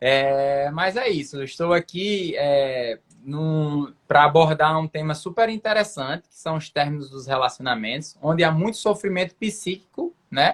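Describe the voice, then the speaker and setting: A man speaks at a fairly slow pace with hardly any pauses. His loudness swings widely. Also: fairly high pitch for a man, ordinary pitch variation. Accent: northeastern Brazilian. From Brazil, Rio Grande do Norte (Mossoró). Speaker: psychiatrist. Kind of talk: live video chat with a guest. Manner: hesitant fillers.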